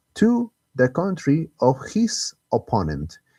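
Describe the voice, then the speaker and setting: A man with a Spanish accent and a dark, mellow tone is heard in a very clean recording with a silent background and a dry, close sound with no echo. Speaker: gaming streamer. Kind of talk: live stream gameplay commentary. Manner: halting, frequent self-repetitions.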